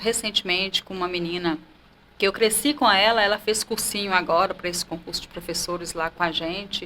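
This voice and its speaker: With a normal speaking voice, a woman talks at a fairly quick pace with ordinary pitch variation and big swings in loudness. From Brasília de Minas, northern Minas Gerais, Brazil. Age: 40s. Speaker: teacher. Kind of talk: interview about life story. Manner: conversational.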